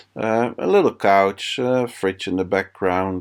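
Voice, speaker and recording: A man talks with a non-native accent. The recording is very clean, with a silent background. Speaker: home renovator. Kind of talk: casual talk to camera. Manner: unscripted, hesitant.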